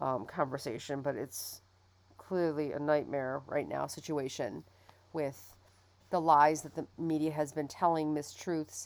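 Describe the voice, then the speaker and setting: A woman's very deep, low voice with an American accent. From Michigan, US. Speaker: podcast host and business professor. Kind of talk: solo podcast monologue. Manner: halting, many fillers.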